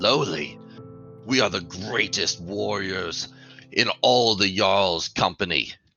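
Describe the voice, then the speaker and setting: Over faint background music, a man puts on a raspy character voice at a fairly low pitch and a fairly slow pace. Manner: snarling, growling.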